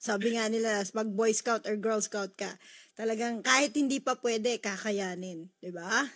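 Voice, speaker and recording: The woman's delivery has normal pitch movement and a moderate tempo. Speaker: radio host. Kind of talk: radio show hosting. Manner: upbeat.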